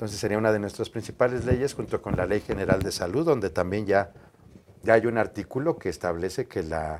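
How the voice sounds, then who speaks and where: A man with a normal speaking voice talks at a fairly low pitch with ordinary variation, on a very clean recording with a silent background. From Mexico City. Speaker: lawyer. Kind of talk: interview.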